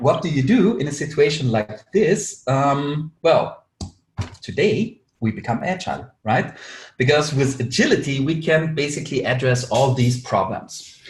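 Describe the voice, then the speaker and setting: Somewhat breathy and fairly high in pitch, a man speaks with an Austrian accent and lively intonation. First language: German. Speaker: agile consultant, webinar speaker. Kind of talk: webinar presentation. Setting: online webinar with screen share. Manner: many filler words.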